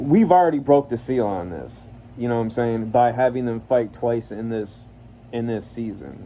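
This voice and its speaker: A man speaks at a fairly slow pace with a dark, mellow tone. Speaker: YouTube reviewer. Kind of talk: casual review vlog. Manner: rambling, hesitant with fillers.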